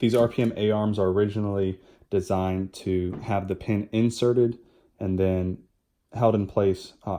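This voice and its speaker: A man's voice, fairly low in pitch, with a dark, mellow tone and flat, monotone intonation, captured in a very clean recording against a silent background. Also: moderate pace. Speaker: RC car hobbyist. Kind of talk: step-by-step install tutorial.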